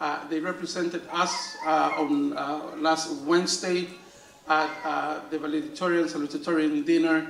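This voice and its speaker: A man's fairly high voice with a Spanish accent, monotone, flat intonation and a moderate pace, amid noticeable background noise and audible room echo. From Dominican Republic. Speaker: school principal. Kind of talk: awards ceremony speech. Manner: halting, many fillers and repeats.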